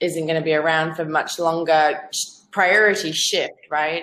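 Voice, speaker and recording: A woman's fairly low voice at a moderate pace, on a very clean recording with a silent background. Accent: Australian. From Zambia. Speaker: freelance business owner. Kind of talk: casual interview chat. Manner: halting, many fillers and repeats.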